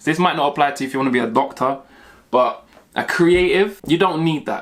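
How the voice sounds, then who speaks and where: A man with a London accent, an animated tone, ordinary pitch variation and a very fast pace, on a very clean recording with a silent background. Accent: London multicultural English. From South London, Mitcham. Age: 30s. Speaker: YouTuber, graphic designer. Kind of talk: casual Q&A vlog.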